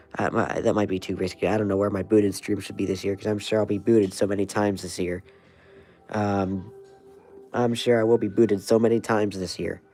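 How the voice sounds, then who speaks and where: Music plays behind a man talking at a very fast pace in an American accent. His fairly low voice stays in a monotone, flat intonation. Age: 20s. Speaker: weather livestreamer. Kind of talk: casual livestream chat. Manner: halting, many fillers.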